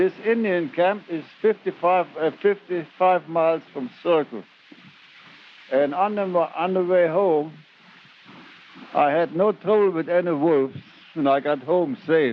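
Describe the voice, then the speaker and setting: A man with a German accent speaks in a high voice at a fairly slow pace. He leaves long, frequent pauses, and there is noticeable background noise. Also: ordinary pitch variation. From Germany. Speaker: former gold miner. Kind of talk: recorded reminiscence storytelling. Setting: home cassette recording.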